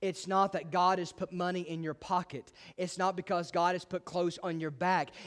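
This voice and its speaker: Heard in a very clean recording with a silent background, a man speaks in a high pitch with an animated tone. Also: moderate pace. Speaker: pastor. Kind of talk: sermon. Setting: church with congregation. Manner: animated, exhorting the congregation with call-and-response; conversational, disfluent with repeated words.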